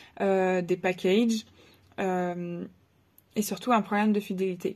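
Her pace very slow, a woman speaks with monotone, flat intonation. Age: 20s. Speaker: photographer and videographer. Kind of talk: self-introduction to camera. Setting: face cam video. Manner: hesitant with many fillers. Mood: friendly, slightly nervous. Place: home room. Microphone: phone near.

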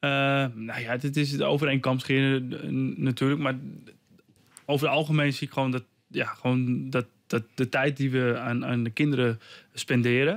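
A man talks at a moderate pace with fairly even intonation and long, frequent pauses, the background quiet. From Netherlands, Almere; Netherlands. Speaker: martial arts trainer and author; interview guest, martial arts teacher. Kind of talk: radio interview. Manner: halting, many repetitions and fillers. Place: studio. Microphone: studio mic.

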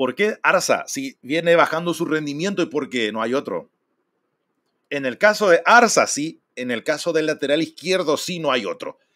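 Lively intonation and a bright, sharp tone come through at a moderate pace over a quiet background. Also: man, fairly high pitch for a man. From Paraguay. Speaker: football streamer and fan commentator; football streamer, fan commentator. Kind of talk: casual live stream talk. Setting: live stream. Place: home room.

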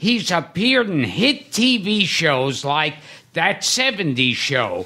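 A man speaks in a raised, projected voice at a very slow pace. His pitch swings very widely. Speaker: podcast host. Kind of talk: podcast guest introduction.

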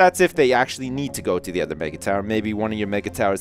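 There is music in the background behind a man speaking with fairly even intonation. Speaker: gaming commentator. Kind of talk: let's play commentary. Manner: casual, humorous.

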